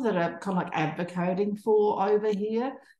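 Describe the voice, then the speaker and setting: Speaking with an Australian accent, a woman keeps a moderate pace with ordinary pitch variation. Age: 60s. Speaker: social enterprise co-founder. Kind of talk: panel discussion. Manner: halting, with frequent repetitions and fillers.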